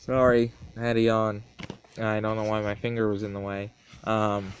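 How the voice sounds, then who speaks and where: A man speaks quietly in a fairly low voice, his intonation monotone and flat, with noticeable background noise behind him. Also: moderate pace. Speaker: wrestling predictions vlogger. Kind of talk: casual monologue. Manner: hesitant.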